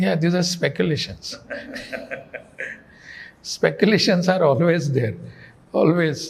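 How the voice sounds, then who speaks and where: Here a man speaks at a fairly slow pace with a high pitch. He leaves long, frequent pauses. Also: lively intonation. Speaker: state governor, politician. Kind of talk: interview answer. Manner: soft-spoken.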